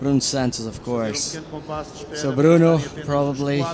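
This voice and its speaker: Noticeable background noise and audible room echo surround a man talking fairly slowly at a medium pitch. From Portugal. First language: Portuguese. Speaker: surf contest commentator. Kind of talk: live commentary. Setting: outdoors at the beach.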